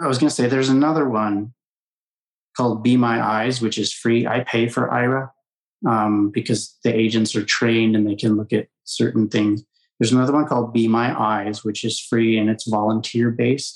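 Flat and monotone, a man's medium-pitched voice holds very even loudness at a moderate pace. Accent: American. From Colorado, US. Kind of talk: interview.

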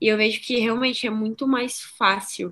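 A woman speaks in an unremarkable speaking voice at a fairly high pitch and moderate pace. The recording is very clean, with a silent background. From southwestern Paraná, Brazil. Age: 20s. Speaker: BMX freestyle athlete. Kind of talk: casual interview.

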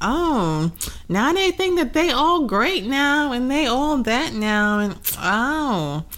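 A high-pitched, female-sounding put-on character voice at a very slow pace. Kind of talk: colloquial, slangy. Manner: mocking, snide.

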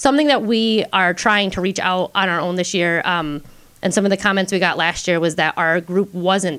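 Ordinary pitch variation runs through a woman's speech at a moderate pace. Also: medium pitch for a woman, very clean recording, silent background. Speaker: early childhood educator and science event organizer. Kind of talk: casual radio interview. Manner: enthusiastic.

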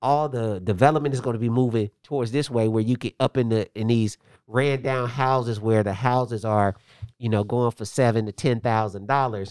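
On a very clean recording with a silent background and a dry, close sound with no echo, a man with an American accent uses a normal speaking voice at a medium pitch, moving at a moderate pace with fairly even intonation. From Indianapolis, US Midwest. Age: 40s. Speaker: pastor and kickboxing gym owner. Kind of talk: casual interview chat.

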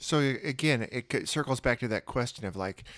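A man with an unremarkable speaking voice talks at a moderate pace with ordinary pitch variation, in a very clean recording with a silent background and a dry, close sound with no echo. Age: 40s. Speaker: podcast co-host, parent. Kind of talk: casual chat.

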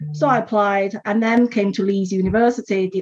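With a Chinese accent, a woman speaks at a moderate pace in a somewhat breathy, medium-pitched voice with fairly even intonation. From China. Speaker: education entrepreneur. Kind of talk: interview.

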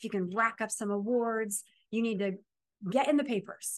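Against a quiet background, a woman with an American accent speaks at a moderate pace in an ordinary speaking voice. Her pitch is fairly high and her intonation fairly even. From Ohio, Appalachia. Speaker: author and speaker. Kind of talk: interview before a live audience. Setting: event venue with live audience.

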